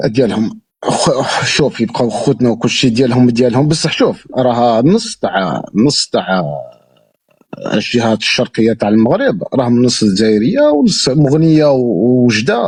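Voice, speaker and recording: A man's medium-pitched voice with ordinary pitch variation and very even loudness. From Algeria, Moroccan border area. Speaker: interviewee, Algerian emigrant. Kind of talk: casual chat.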